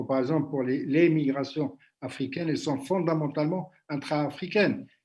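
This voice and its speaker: This man's voice has a dark, mellow tone and a fairly high pitch with ordinary pitch variation. He speaks at a fairly slow pace. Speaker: workshop moderator. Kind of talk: panel discussion. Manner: hesitant, many fillers.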